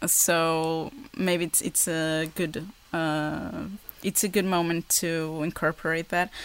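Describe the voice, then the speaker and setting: A woman speaks very slowly at a fairly low pitch with fairly even intonation. The recording is very clean with a silent background. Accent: Portuguese. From Portugal. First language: Portuguese. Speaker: woodworking YouTuber. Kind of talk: casual interview. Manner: halting.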